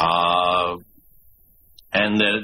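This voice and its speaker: A man with a very deep, low pitch and a bright, sharp tone speaks with fairly even intonation. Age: 70s. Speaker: author and former prisoner, cannabis activist. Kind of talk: radio interview.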